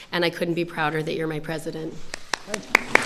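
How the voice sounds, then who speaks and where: A woman with an American accent speaks at a fairly low pitch. There is noticeable background noise. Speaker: schoolteacher, award recipient. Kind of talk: acceptance speech.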